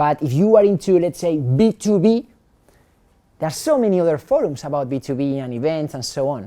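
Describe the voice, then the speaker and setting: A man with a non-native accent, a dark, mellow tone and a fairly high pitch with ordinary variation, at a fairly quick pace. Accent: foreign. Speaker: startup founder and speaker. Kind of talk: talk at a meetup.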